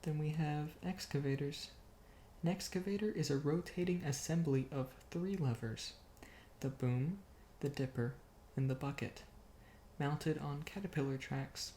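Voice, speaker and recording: A soft-spoken, calm man with a fairly high, somewhat breathy voice and a dark, mellow tone, talking at a fairly slow pace with long, frequent pauses. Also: ordinary pitch variation. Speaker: ASMR creator. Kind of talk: ASMR bedtime reading of an engineering book.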